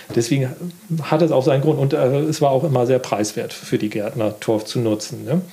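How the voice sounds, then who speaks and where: A man talks at a fairly quick pace with a medium pitch and ordinary pitch variation. Noticeable background noise runs under his voice. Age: 50s. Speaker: gardening magazine editor. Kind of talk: casual interview. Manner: halting.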